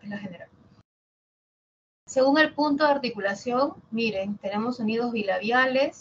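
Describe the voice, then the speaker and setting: A woman speaks with a Lima accent at a fairly quick pace. Her pitch is fairly high. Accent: coastal Lima Spanish. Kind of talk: lecturing, instructional.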